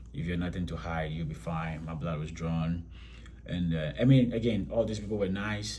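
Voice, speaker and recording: A man speaks with a Ghanaian accent in a dark, mellow, somewhat breathy tone. His pitch swings very widely, and the room echo is audible. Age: 30s. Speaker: vlogger, military recruit. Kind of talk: casual vlog. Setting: hotel room. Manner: halting, many fillers.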